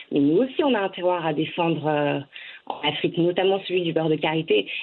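This woman's voice sits at a fairly low pitch. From France, Ivorian-born (moved at age 3). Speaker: start-up founder, cosmetics entrepreneur. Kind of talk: interview. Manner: hesitant, many fillers and repetitions.

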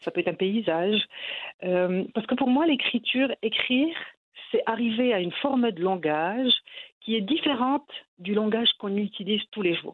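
At a moderate pace, a woman with a fairly high pitch and lively intonation speaks with long, frequent pauses. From Morocco. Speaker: novelist. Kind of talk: interview. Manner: hesitant.

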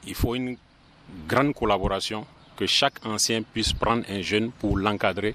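The pace is fairly slow. A man with a fairly low pitch speaks with fairly even intonation. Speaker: film club association president. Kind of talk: interview.

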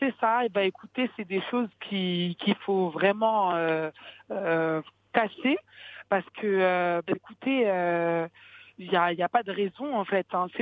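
Speaking very slowly with long, frequent pauses, a woman uses a medium pitch and ordinary pitch variation. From France, Paris region. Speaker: beauty entrepreneur. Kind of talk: interview. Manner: halting.

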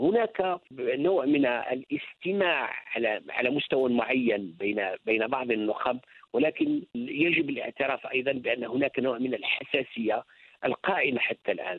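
Speaking at a fairly slow pace with hardly any pauses, a man with an unremarkable speaking voice keeps a medium pitch and lively intonation. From Algeria. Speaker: novelist and university professor. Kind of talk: interview.

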